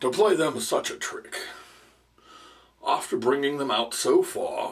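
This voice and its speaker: At a fairly slow pace, a man performs a put-on character voice. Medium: read story. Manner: pompous, sentimental.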